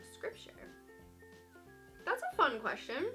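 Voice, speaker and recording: With music in the background, a woman speaks in an upbeat tone at a moderate pace. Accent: American. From Georgia, US. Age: 20s. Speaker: vlogger. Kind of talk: casual talk to camera.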